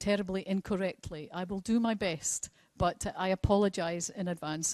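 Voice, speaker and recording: A woman with a Scottish accent speaks at a fairly slow pace, the sound dry and close with no echo and the background quiet. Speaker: presenter at a ceremony. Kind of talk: formal public speaking.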